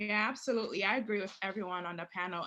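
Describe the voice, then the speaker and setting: In a bright, sharp tone, a woman talks with a Haitian accent against a quiet background. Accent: Haitian Creole-tinged English. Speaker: prosecutor. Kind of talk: panel discussion.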